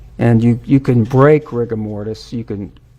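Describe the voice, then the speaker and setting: This man has a plain, everyday voice at a medium pitch. He keeps a moderate pace and fairly even intonation. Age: 60s. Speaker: expert witness, forensic pathologist. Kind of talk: court testimony. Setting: courtroom.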